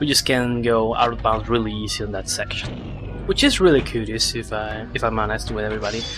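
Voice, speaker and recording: Fairly quick speech from a man with a non-native accent, over noticeable background noise. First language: not English. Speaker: speedrunner. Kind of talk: live gameplay commentary. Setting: live stream.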